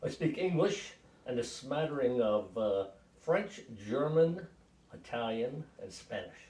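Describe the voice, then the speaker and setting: A man with an American accent, fairly high in pitch with very wide pitch swings, in a dark, mellow, somewhat breathy tone, at a fairly slow pace with long, frequent pauses. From western New York, US. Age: 60s. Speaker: navy veteran, grandfather. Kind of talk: family interview. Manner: hesitant, with frequent fillers.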